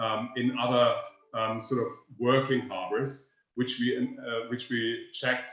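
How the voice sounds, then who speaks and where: A man with a German accent speaks at a moderate pace. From northern Germany, near Danish border. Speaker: energy researcher. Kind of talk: webinar presentation. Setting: online webinar. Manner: halting, many fillers.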